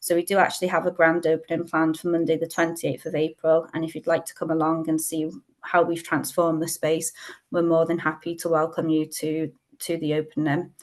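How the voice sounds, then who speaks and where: A woman speaks at a fairly quick pace. Her intonation is monotone and flat. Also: fairly low pitch for a woman. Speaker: community council presenter. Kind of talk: webinar presentation. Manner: fast.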